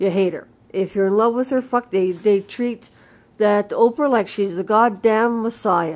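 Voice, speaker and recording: A woman with a western Canadian accent, fairly high in pitch, with ordinary pitch variation. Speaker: vlogger. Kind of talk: casual monologue rant. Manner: uneven loudness.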